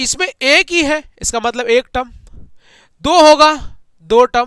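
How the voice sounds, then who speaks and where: A man speaks in an extremely high, raised and projected voice with a bright, sharp tone and lively intonation. His pace is fairly slow, and the very clean recording has a silent background and a dry, close sound with no echo. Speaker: online maths teacher. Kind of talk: lecture. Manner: animated.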